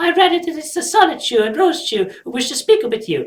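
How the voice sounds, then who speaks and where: A put-on, squeaky character voice from a woman, extremely high-pitched and very fast, with very wide pitch swings and big swings in loudness. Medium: read story.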